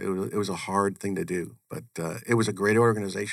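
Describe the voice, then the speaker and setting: In a very clean recording with a silent background, a man talks at a fairly low pitch with vocal fry. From US Northeast (Connecticut). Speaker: chief financial officer. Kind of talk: interview.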